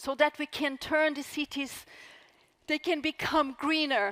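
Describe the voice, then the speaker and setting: Heard in a dry, close sound with no echo, a woman speaks with a Brazilian accent. Her pace is fairly slow. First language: Portuguese. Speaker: author. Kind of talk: talk to live audience; audience Q&A answer.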